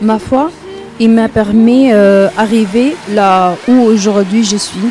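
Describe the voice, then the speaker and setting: A woman's fairly high voice with a Libyan accent, very slow pace and ordinary pitch variation, over noticeable background noise. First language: Arabic (speaking French). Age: 30s. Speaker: participant in testimonial video. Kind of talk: testimony. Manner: halting.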